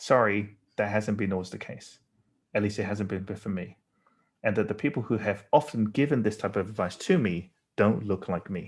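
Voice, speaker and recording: With a British accent, a man speaks in a fairly low voice at a moderate pace. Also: ordinary pitch variation, very clean recording, silent background. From England. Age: 40s. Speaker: designer. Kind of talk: lecture. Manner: halting.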